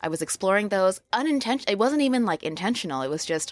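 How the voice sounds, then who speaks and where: A woman with an American accent speaks fairly quickly at a medium pitch, her voice swinging very widely up and down. The sound is dry and close with no echo, in a very clean recording over a silent background. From Los Angeles, US West Coast. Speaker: lettering artist. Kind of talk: interview chat.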